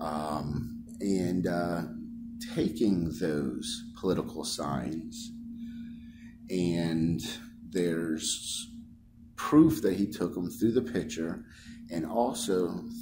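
Long, frequent pauses break up speech with ordinary pitch variation, set against noticeable background noise. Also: man. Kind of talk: explanation to clerk. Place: office. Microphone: phone near.

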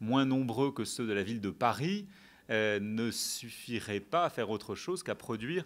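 A man is speaking at a moderate pace. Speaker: debate moderator. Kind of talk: lecture. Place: hall. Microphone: podium.

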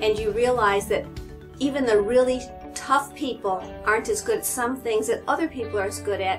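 Clear music plays behind a woman talking at a fairly quick pace. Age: 60s. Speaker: gym client. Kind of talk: testimonial interview answer. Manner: casual, conversational. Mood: warm, upbeat, smiling. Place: hall.

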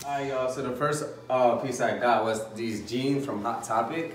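With fairly even intonation, a man speaks amid audible room echo and light background noise. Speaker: vlogger. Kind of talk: casual vlog chat, clothing haul. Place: home room. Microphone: phone near.

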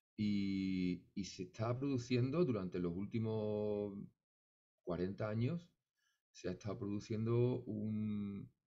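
A man speaks at a very slow pace in a dark, mellow tone against a quiet background. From Seville, Andalusia, Spain; Andalusia, Spain. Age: 50s. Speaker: flamenco musician; interviewee. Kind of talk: interview. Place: home room. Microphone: studio mic.

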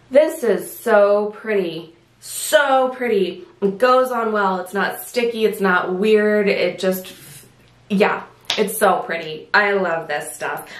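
Very slow speech in an American accent, with ordinary pitch variation and audible room echo. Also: woman. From US, Southern California. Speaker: beauty vlogger. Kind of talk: product review vlog. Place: home room.

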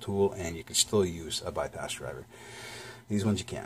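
Very deep and low-pitched, a man talks at a very fast pace and sounds somewhat breathy. Light background noise is present. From Canada. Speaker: lock-picking YouTuber; lock reviewer. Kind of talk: product review. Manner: casual, hesitant with fillers.

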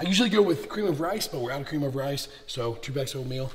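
A man with a fairly high pitch uses lively intonation while noticeable background noise carries on behind him. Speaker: fitness vlogger and bodybuilder. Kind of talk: casual vlog. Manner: casual, profane.

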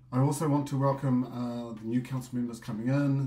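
In audible room echo, a man speaks at a moderate pace with monotone, flat intonation. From New Zealand. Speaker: association president. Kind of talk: business meeting report.

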